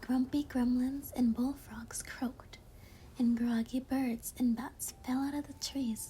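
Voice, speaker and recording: The speaker is soft-spoken and talks at a very slow pace. Noticeable background noise runs underneath. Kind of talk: read story; ASMR bedtime story.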